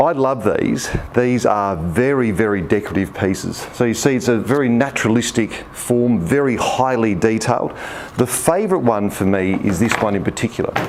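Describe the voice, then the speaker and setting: A man with an Australian accent, medium-pitched, at a moderate pace with ordinary pitch variation, over noticeable background noise. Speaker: auctioneer and managing director of an auction house. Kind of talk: casual talk to camera, auction house showcase.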